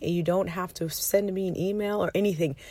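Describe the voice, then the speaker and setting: Quiet and dark, mellow in tone, a woman's fairly low voice moves at a fairly quick pace with ordinary pitch variation on a very clean recording with a silent background. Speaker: money habits coach and podcast host. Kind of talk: casual solo podcast talk. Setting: parked minivan, child sleeping.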